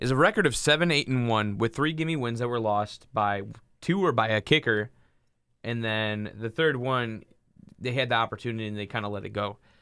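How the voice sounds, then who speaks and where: The pitch variation is ordinary. This is an unremarkable speaking voice. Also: man, medium pitch for a man. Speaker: sports podcast co-host. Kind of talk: casual chat. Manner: joking.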